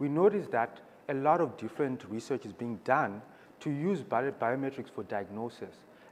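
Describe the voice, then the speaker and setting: This man's medium-pitched voice moves at a fairly quick pace with lively intonation. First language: not English. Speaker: startup founder. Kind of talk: panel presentation.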